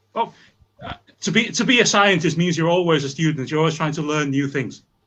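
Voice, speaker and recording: With a Welsh accent, a man talks at a fairly quick pace in a bright, sharp tone, using a fairly high pitch with ordinary variation. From Wales, rural. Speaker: scientist. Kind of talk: interview.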